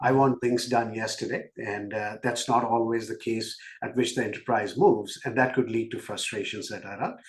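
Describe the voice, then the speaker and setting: Somewhat breathy and medium in pitch, a man speaks at a moderate pace with fairly even intonation in an Indian accent. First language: not English. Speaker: business executive. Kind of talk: podcast interview.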